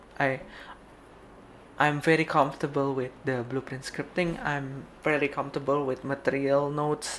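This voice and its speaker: Pitched fairly high, a man speaks at a moderate pace with a non-native accent. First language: Indonesian. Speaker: game developer streamer. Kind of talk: casual live stream talk. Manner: halting, many fillers.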